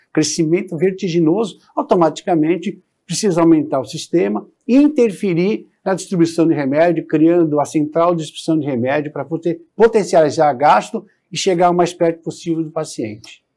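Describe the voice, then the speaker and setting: The man has a high voice with ordinary pitch variation. He speaks at a moderate pace. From Brazil, São Paulo coast; São Paulo state, Brazil. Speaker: politician, mayoral candidate; politician, candidate. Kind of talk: political interview. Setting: TV studio. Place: studio. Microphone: lapel.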